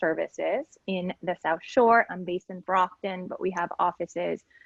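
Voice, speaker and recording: Speaking at a moderate pace and a medium pitch, a woman talks with a Spanish accent. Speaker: legal aid lawyer. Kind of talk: panel discussion.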